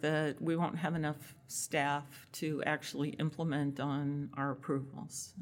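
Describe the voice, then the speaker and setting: A woman speaks at a fairly slow pace in a very deep, low voice. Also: very clean recording, silent background. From Massachusetts. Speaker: tech entrepreneur. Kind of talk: interview. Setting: networking event.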